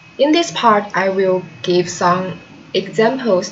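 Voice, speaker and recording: A woman with a Chinese accent talks at a very slow pace over noticeable background noise. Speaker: translation student. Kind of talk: video self-presentation. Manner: halting.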